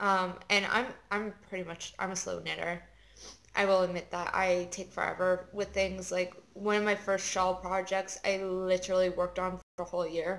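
Her voice at medium pitch, a woman speaks at a moderate pace with monotone, flat intonation. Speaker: knitting video podcaster. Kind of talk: casual chat. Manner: hesitant, many fillers.

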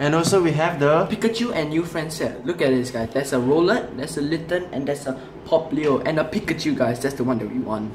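A man at a fairly quick pace with hardly any pauses, against noticeable background noise. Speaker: unboxing channel host. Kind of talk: casual vlog chat. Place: home room.

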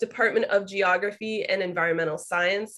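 A woman speaks with a bright, sharp tone. Her intonation is fairly even. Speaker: webinar host introducing guests. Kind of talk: speaker introduction. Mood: warm, friendly.

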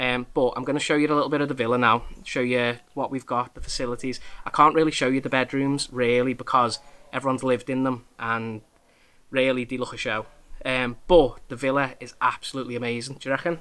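This man's bright, sharp voice moves at a fairly quick pace in a monotone, flat delivery. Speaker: vlogger. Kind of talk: casual vlog chat. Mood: relaxed, friendly. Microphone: phone near.

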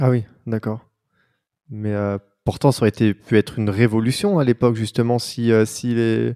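Pausing long and often, a man talks at a moderate pace with fairly even intonation and a dark, mellow tone against a quiet background. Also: medium pitch for a man. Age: 30s. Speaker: podcast host. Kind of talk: casual interview. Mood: warm, attentive. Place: home room. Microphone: handheld.

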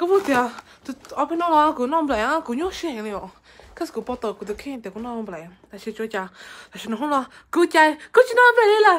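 A woman speaks at a fairly slow pace in a high pitch, leaving long, frequent pauses. Her pitch swings very widely, and her loudness rises and falls sharply. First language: Hmong (speaking Korean). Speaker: vlogger. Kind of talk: casual vlog. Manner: halting.

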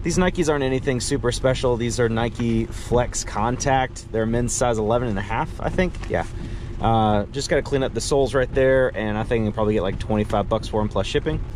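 Against light background noise, a man talks at a fairly quick pace with ordinary pitch variation in a dry sound with no echo. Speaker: thrift reseller vlogger. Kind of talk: casual vlog chat. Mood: upbeat, chatty. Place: car. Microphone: phone near.

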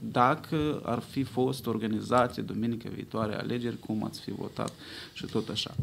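A man's voice with vocal fry and fairly even intonation, at a moderate pace over light background noise. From Moldova. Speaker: pollster. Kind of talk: press conference. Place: hall. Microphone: podium.

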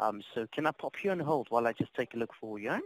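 A man with a South African accent speaks at a very fast pace in a medium pitch, showing ordinary pitch variation in a dry, close sound with no echo. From South Africa, Cape Town. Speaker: customer service agent. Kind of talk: customer service phone call. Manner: polite, hesitant with fillers.

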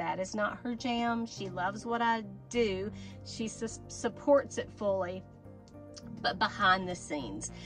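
Behind a woman's talking, music plays clearly. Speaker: doll channel host. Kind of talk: casual vlog chat. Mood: warm, playful. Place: home room. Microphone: phone near.

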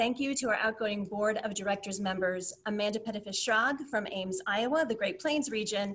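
Against light background noise, a woman speaks at a moderate pace with ordinary pitch variation. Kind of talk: meeting presentation. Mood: grateful, warm. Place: home room. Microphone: webcam.

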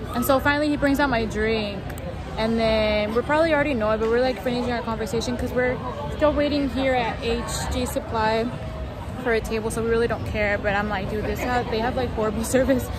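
A woman speaks at a very fast pace in a dry, echo-free recording with crowd noise behind her. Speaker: vlogger. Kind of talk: casual vlog chat. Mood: annoyed, storytelling. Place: street. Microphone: phone near.

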